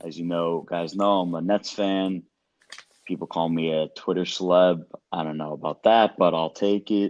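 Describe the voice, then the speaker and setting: Talking at a moderate pace, a man with a slight Brooklyn accent keeps a very deep, low pitch and monotone, flat intonation. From Brooklyn, New York. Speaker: podcast co-host. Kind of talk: casual chat.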